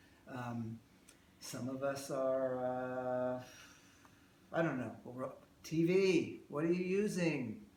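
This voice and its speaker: With audible room echo, a man at a medium pitch talks at a very slow pace with long, frequent pauses and ordinary pitch variation. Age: 60s. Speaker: emotional release therapist. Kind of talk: workshop talk with live demonstration. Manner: conversational, rambling delivery with fillers.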